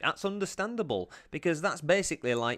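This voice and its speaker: Man's voice with very wide pitch swings on a very clean recording with a silent background. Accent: Yorkshire. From Yorkshire, England. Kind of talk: casual reaction commentary to camera.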